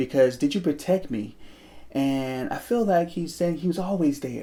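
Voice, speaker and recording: A man's dark, mellow voice, fairly quick in pace and lively in intonation. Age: 30s. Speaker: motivational vlogger. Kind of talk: personal testimony. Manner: halting, repetitive.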